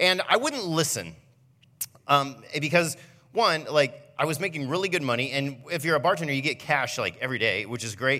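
Bright, sharp tone from a man with fairly high pitch, lively intonation and a moderate pace. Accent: American. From Ohio, Fremont. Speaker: pastor. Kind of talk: sermon. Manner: casual, conversational.

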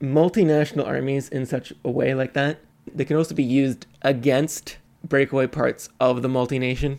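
A man with a Canadian accent speaks at a moderate pace in an ordinary speaking voice. His pitch is fairly high, and his intonation stays fairly even. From Montreal, Canada. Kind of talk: casual chat.

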